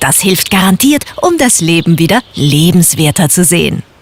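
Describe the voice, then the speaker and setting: Noticeable background noise sits behind a woman's voice. Her pitch swings very widely. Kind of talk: formal standard German announcement. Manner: polite, formal.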